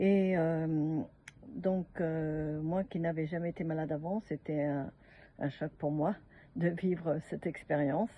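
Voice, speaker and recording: A woman at a very slow pace, fairly low in pitch, with fairly even intonation. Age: 70s. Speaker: customer giving a product testimonial. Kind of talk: testimony. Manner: halting, many hesitations.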